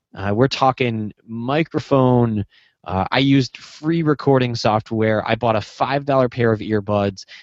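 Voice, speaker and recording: A man's medium-pitched voice at a fairly slow pace with ordinary pitch variation, dry and close with no echo against a quiet background. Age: 20s. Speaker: entrepreneur and former band guitarist. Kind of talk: interview conversation.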